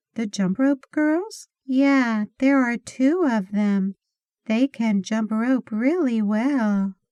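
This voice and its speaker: A woman with an American accent, fairly high pitch, a dark, mellow tone, ordinary pitch variation and a very slow pace, in a dry, close sound with no echo. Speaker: English teacher. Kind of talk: animation story for English learners. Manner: slow, clear.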